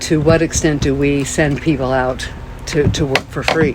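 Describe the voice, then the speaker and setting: With music in the background, a woman speaks at a very deep, low pitch in a monotone, flat intonation. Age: 60s. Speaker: environmental educator. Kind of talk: interview.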